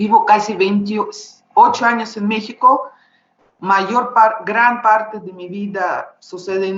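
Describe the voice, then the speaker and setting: A woman with a Russian accent, fairly high pitch and fairly even intonation, at a very slow pace. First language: Russian (speaking Spanish). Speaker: visual artist. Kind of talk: panel discussion. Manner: halting.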